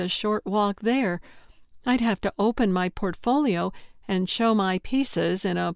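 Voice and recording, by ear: Someone is reading aloud. The voice is natural.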